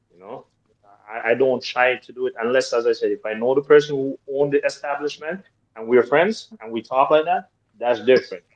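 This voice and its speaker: A man with a fairly high pitch and an ordinary speaking voice, fairly quick pace, ordinary pitch variation, big swings in loudness, and a dry, close sound with no echo. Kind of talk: podcast discussion.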